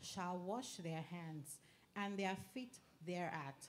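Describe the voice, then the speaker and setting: At a fairly slow pace, a woman talks in an ordinary speaking voice with a fairly low pitch. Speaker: scripture reader. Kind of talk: reading aloud from scripture.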